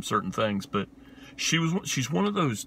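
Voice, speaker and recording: A man speaks with an Appalachian accent. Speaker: film reviewer, video host. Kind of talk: casual film review monologue. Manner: casual, hesitant with many fillers.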